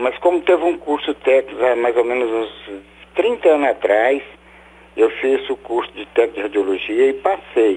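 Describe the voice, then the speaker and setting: At a moderate pace, a man speaks in a medium pitch with lively intonation. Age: 60s. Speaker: caller, former radiology technician. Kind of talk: phone-in call.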